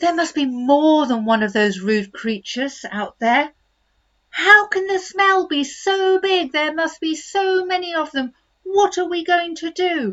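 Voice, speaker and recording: Using a squeaky, put-on character voice at an extremely high pitch, a woman speaks at a fairly slow pace. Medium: read story. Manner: polite.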